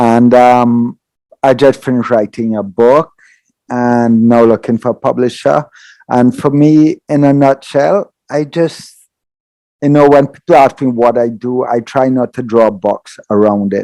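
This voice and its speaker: Speaking fairly slowly in a Trinidadian accent, a man has a dark, mellow tone and a medium pitch. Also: ordinary pitch variation, dry, close sound with no echo. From Trinidad and Tobago. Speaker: yoga teacher. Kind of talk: podcast interview.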